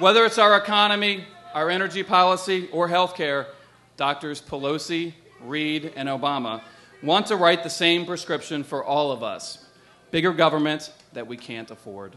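At a moderate pace, a man speaks with lively intonation and big swings in loudness. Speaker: candidate. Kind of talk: political stump speech. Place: stage. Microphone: podium.

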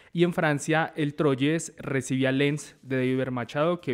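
The delivery is at a moderate pace in an unremarkable speaking voice with fairly even intonation. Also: man. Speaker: sports journalist. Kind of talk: sports panel discussion.

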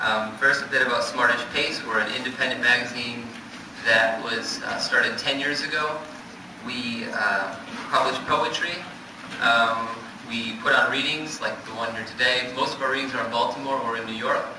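Over noticeable background noise and audible room echo, a man speaks at a moderate pace with fairly even intonation and long, frequent pauses. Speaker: magazine editor introducing poets. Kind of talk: event introduction with thanks and announcements. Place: hall. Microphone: podium.

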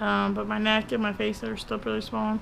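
Light background noise sits under a woman talking fairly quickly. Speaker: vlogger. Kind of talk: casual vlog chat. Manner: hoarse, careful post-tonsillectomy speech. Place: home room. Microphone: phone near.

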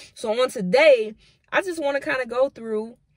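A woman at a moderate pace with ordinary pitch variation, in a dry sound with no echo against a quiet background. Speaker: devotional vlogger. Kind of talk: devotional teaching, casual vlog chat. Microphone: phone near.

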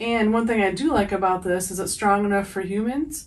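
At a moderate pace, a woman speaks with intonation that stays fairly even. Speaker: pet owner reviewing products. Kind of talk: casual product review. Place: home room. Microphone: camera far.

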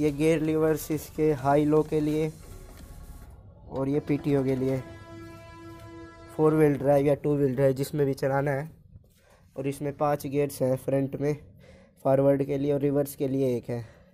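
Faint music plays in the background as a fairly slow, monotone, flat voice moves along with long, frequent pauses. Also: man. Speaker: vlogger showing his tractor. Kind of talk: casual vlog chat. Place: farm machine. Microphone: phone near.

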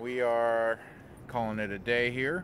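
Here a man speaks with fairly even intonation. The sound is dry with no echo, and there is light background noise. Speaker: family vlogger. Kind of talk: casual vlog chat. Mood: relaxed, wrapping up day. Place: open country. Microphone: phone near.

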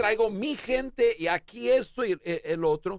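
With very wide pitch swings, a man talks in a dry sound with no echo against a quiet background. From United States. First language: English (speaking Spanish). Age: 50s. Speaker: leadership expert; interview guest, leadership coach. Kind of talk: interview. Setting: studio. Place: studio. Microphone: studio mic.

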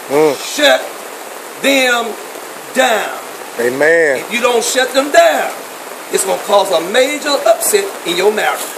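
A man shouts loudly in an extremely high voice, with very wide pitch swings and an animated tone. He talks at a fairly slow pace with long, frequent pauses, and there is noticeable background noise. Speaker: preacher. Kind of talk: charismatic sermon with prayer and laying on of hands, call-and-response. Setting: church with congregation. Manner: loud, fervent, animated, shouting praise; rhythmic, exhorting the congregation. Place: tent. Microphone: phone near.

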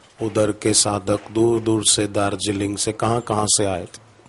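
Very slowly and somewhat breathily, a man speaks at a fairly low pitch in a monotone with flat intonation. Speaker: religious preacher. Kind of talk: sermon. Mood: calm, devotional narration. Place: stage. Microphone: podium.

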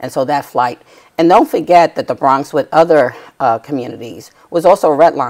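A woman speaks in an American accent with a very deep, low pitch and ordinary pitch variation. Her pace is moderate, over a quiet background. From New York City, Lower Manhattan; New York. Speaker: tenant rights activist; guest. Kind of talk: TV interview. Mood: earnest, indignant storytelling. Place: studio. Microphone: lapel.

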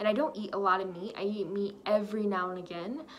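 A woman speaks at a fairly quick pace with fairly even intonation. Light background noise is present. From Texas. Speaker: lifestyle vlogger; vlogger. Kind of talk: personal vlog monologue. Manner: casual, filler-heavy. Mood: warm, reflective, encouraging. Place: home room. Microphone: phone near.

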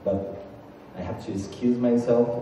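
A man at medium pitch with a dark, mellow tone, fairly even intonation and a fairly slow pace, amid strong room echo.

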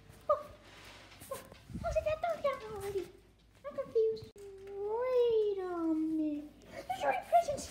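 A female-sounding cartoonish character voice sits at an extremely high pitch. Long pauses come often. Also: moderate pace. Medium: puppet. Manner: surprised, panicky.

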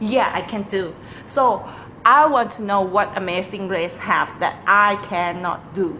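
With a Thai accent, a woman talks at a fairly slow pace and medium pitch with ordinary pitch variation, amid noticeable background noise and audible room echo. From Thailand. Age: 20s. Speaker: lecturer and sailor. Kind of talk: audition video. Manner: animated.

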